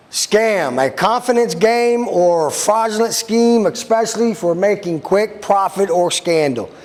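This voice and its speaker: A man's high-pitched voice at a fairly slow pace, with hardly any pauses, ordinary pitch variation and very even loudness, over noticeable background noise. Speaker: sheriff's deputy. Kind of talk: public talk / presentation. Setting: room with live audience.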